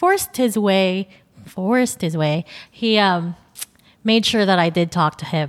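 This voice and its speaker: A woman with a Filipino accent, her medium pitch showing ordinary variation. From Philippines. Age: 20s. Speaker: podcast host and photographer. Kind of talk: solo podcast monologue. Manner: nervous at times.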